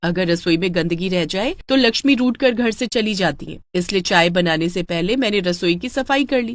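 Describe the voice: Someone plainly reads a text aloud.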